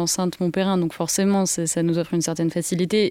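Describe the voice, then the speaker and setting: A woman speaks with a dark, mellow tone and fairly low pitch. Her intonation is monotone and flat, and the recording is very clean with a silent background. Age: 20s. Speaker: arts centre mediator. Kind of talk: guided tour and interview.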